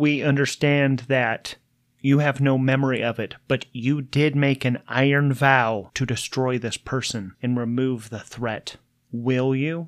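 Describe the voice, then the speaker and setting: In a very clean recording with a silent background, a man puts on a robotic character voice at medium pitch and a fairly slow pace. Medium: actual play. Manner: flat, terse, clinical.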